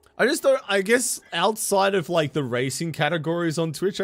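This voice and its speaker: This man talks at a very fast pace with an Australian accent. His intonation is lively. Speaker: game streamer. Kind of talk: casual chat. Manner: animated.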